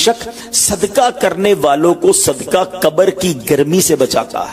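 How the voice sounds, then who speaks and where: A man talks in a high pitch with lively intonation. Noticeable background noise runs underneath. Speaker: Islamic preacher. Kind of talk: Islamic sermon (bayan) delivered to an audience.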